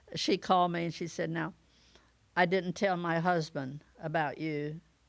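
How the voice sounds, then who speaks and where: A woman speaks at a moderate pace with an American accent. Her fairly low voice stays monotone and flat. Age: 80s+. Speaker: retired women's athletics pioneer. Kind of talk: interview storytelling.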